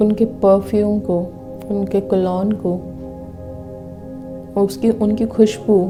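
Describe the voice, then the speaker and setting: With music in the background, a woman of medium pitch speaks in a flat monotone, leaving long, frequent pauses. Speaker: manifestation / law of attraction guide. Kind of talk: guided visualization. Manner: slow, whispered, with long pauses.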